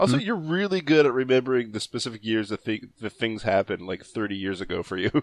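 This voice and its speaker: At a very fast pace, a man with a medium-pitched voice speaks with lively intonation in a dry, close sound with no echo. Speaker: podcast panelist. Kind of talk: comedic reading of forum posts.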